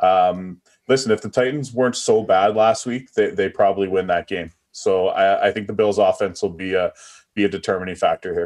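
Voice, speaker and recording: A normal speaking voice from a man, fairly low in pitch, with fairly even intonation, a fairly quick pace and a quiet background. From Atlantic Canada. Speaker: sports betting analyst. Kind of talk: casual chat.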